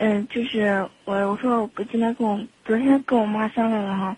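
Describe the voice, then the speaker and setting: A woman with a fairly high, somewhat breathy voice speaks with fairly even intonation. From Xinxiang, Henan, China. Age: 20s. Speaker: radio call-in caller. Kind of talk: phone-in advice conversation. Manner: halting, many hesitations.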